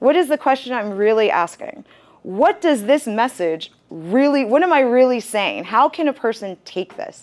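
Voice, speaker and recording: A woman speaks loudly at a moderate pace with an animated tone. Her high pitch swings very widely. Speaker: university career advisor. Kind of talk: interactive workshop talk.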